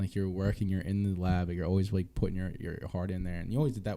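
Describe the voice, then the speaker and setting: Over a silent background in a very clean recording, a man with a Philadelphia accent and a very deep, low pitch speaks at a very fast pace, his tone dark and mellow and his intonation fairly even. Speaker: podcast host. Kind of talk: casual chat.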